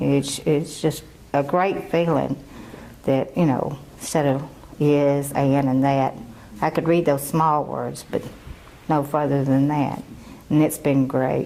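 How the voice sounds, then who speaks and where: A woman speaks very slowly with long, frequent pauses, a very deep, low pitch, monotone, flat intonation and very even loudness, with noticeable background noise behind her. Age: 60s. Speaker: adult literacy learner. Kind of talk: testimony.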